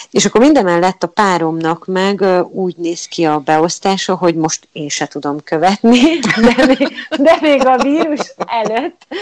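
Her pitch medium but swinging very widely, a woman speaks with a dry, close sound with no echo. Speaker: theatre audio describer, former teacher. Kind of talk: interview. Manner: halting.

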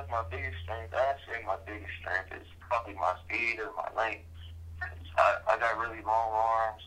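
With an unremarkable speaking voice, a man talks at a fairly slow pace in a fairly low pitch, showing ordinary pitch variation and big swings in loudness. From moved around US and London; high school in Las Vegas, Nevada. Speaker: college football player. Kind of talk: sports interview.

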